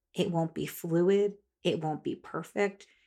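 Over a very clean recording with a silent background, a woman speaks with fairly even intonation at a fairly low pitch in an unremarkable speaking voice. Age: 40s. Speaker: dietitian and podcast host. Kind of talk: solo podcast monologue. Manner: casual, conversational.

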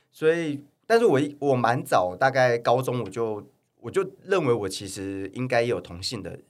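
Here is a man with an unremarkable speaking voice, lively intonation and a moderate pace. His loudness swings a lot, and the recording is very clean with a silent background. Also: medium pitch for a man. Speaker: fitness influencer and model. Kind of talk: casual interview chat. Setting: studio.

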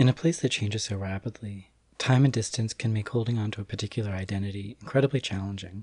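A man talks at a very fast pace in a fairly low, somewhat breathy voice with ordinary pitch variation. The sound is dry and close with no echo, over a quiet background. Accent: American. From United States. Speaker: podcast trainee. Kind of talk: casual chat; scripted narration.

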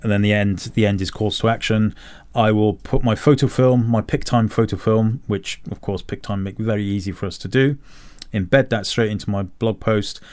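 A man speaks at a moderate pace in a fairly low register. He has an ordinary speaking voice with fairly even intonation. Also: very clean recording, silent background. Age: 50s. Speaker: photographer and podcast host. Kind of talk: casual chat.

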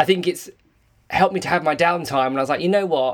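A man speaks with ordinary pitch variation in an English accent. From England. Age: 30s. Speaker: podcast host, former dancer. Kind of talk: casual chat. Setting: Instagram live video call.

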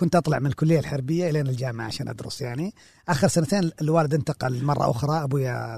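A man's fairly high, somewhat breathy voice. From Saudi Arabia, Jazan region. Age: 40s. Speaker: librarian and film critic. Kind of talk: casual interview. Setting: library.

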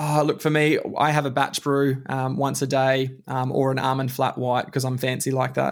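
Speaking at a moderate pace with hardly any pauses, a man holds a monotone, flat intonation at a medium pitch. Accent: Australian. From Australia (Queensland, Alice Springs, country town). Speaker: leadership consultant. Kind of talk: interview. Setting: podcast recording.

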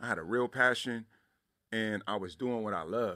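A man speaks at medium pitch and a moderate pace with an American accent. The recording is very clean, the background silent, and his pitch varies in an ordinary way. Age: young. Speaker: professor. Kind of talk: testimony. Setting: studio.

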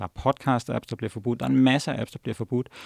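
A man's voice with vocal fry, dry and close with no echo, on a very clean recording with a silent background. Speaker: tech journalist and editor. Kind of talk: casual chat. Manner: halting.

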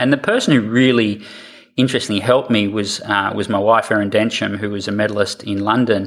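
Delivery comes at a fairly quick pace with an Australian accent. The intonation stays fairly even. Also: man. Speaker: triathlon coach. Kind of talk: interview.

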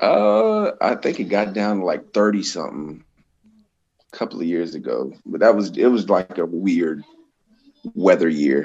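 A man speaks at a fairly slow pace. His pauses are long and frequent. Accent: American. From Florida (Tampa). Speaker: professional wrestler. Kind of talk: casual chat.

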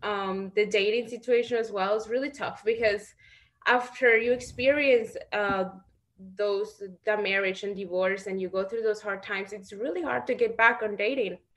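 A moderate pace, ordinary pitch variation, and a Spanish accent. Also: woman, fairly high pitch for a woman. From Mexico (Guanajuato). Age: 20s. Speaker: reality TV participant and model. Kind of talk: interview.

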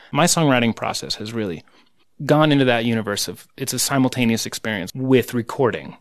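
A plain, everyday voice from a man with an American accent, at a medium pitch. His pace is fairly quick, with ordinary pitch variation. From United States. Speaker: musician and record producer. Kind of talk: interview conversation. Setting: studio.

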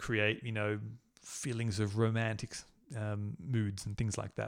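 Talking at a fairly slow pace, a man speaks with an Australian accent. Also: very clean recording, silent background. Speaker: conductor and composer. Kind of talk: casual interview.

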